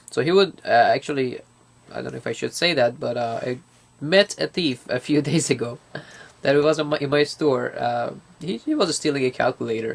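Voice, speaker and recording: A man with a non-native accent speaks at a fairly high pitch. His pace is fairly quick. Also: ordinary pitch variation. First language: not English. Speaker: student. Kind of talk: casual interview. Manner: halting.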